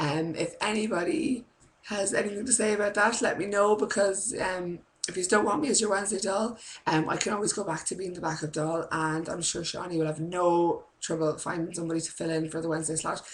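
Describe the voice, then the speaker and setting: Fairly quick speech in an Irish accent, with ordinary pitch variation and noticeable background noise. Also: woman, medium pitch for a woman. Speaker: preschool teacher and vlogger. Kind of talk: casual vlog chat. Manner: rambling, many fillers. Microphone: laptop webcam.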